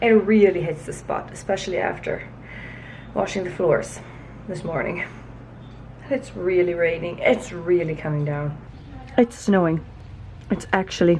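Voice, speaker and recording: Over noticeable background noise, a woman speaks at a fairly low pitch with ordinary pitch variation and long, frequent pauses. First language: Hutterite German. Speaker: vlogger. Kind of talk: casual vlog narration. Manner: casual, occasionally halting.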